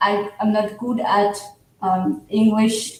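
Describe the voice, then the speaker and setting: A woman's fairly high voice at a very slow pace, in a non-native accent, with audible room echo. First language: not English. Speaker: livestream guest. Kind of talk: casual chat.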